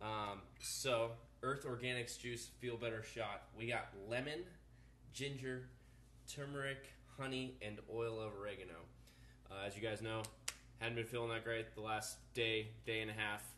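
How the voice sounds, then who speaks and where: Pausing long and often, a man speaks in a bright, sharp tone over light background noise, with audible room echo. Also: fairly even intonation, moderate pace. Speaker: vlogger. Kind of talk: casual vlog chat. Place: kitchen. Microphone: phone near.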